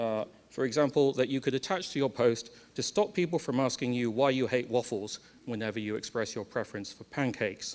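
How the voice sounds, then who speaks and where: Speaking at a fairly quick pace, a man with a medium pitch has an English accent. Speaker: conference speaker. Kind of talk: lightning talk. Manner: fast.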